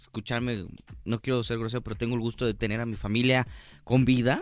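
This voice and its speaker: A man with a medium pitch is heard in a very clean recording against a silent background. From Mexico, Guadalajara, Jalisco. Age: 20s. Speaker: stand-up comedian. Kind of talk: casual chat. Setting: studio. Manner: animated.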